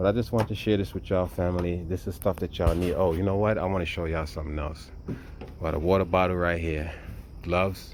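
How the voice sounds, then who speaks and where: Quietly and at a very fast pace, a man talks in a very deep, low pitch with fairly even intonation. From US inner city. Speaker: survival prep vlogger. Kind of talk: casual show-and-tell tutorial. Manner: low, quiet talking; casual, halting with fillers.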